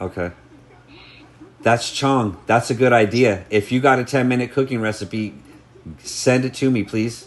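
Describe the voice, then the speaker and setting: A man at medium pitch and moderate pace, with long, frequent pauses. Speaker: streamer. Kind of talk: casual chat. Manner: loud; animated.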